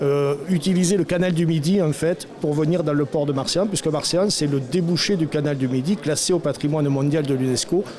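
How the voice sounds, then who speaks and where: A man with a southern French accent at a moderate pace and ordinary pitch variation, amid noticeable background noise. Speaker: mayor. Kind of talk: interview. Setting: conference. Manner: hesitant with fillers.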